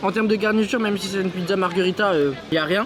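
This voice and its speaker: An animated voice rushes at a very fast pace with ordinary pitch variation over noticeable background noise. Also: man. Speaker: travel vlogger. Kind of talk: casual vlog commentary. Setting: campsite shop; outdoors at a campsite. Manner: speaking quietly.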